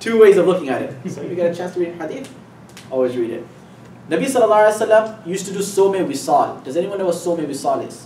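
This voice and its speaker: Talking very fast with lively intonation and big swings in loudness, a man with a high pitch is heard amid noticeable background noise and audible room echo. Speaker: Islamic teacher. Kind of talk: lecture.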